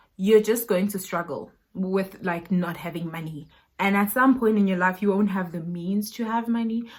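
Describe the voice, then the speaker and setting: On a very clean recording with a silent background, a woman with a medium pitch and a somewhat breathy voice speaks at a moderate pace with ordinary pitch variation. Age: 20s. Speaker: YouTuber. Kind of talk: vlog talk to camera.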